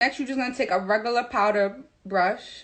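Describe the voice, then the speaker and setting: Over a quiet background, a woman with a strong New York accent speaks at a fairly slow pace, her fairly high voice showing ordinary pitch variation. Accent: thick New York City. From New York City. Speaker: makeup artist. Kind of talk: tutorial. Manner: casual, direct.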